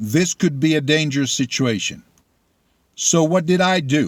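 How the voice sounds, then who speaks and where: This is a man speaking. He talks with a Spanish accent. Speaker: political commentator. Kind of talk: opinion monologue. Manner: animated.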